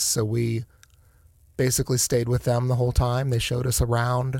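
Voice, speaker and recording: With an American accent, a man talks at a moderate pace and medium pitch, his dark, mellow tone somewhat breathy and his intonation monotone and flat. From Northeast Ohio (Akron). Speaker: hospital finance executive. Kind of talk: casual interview. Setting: studio.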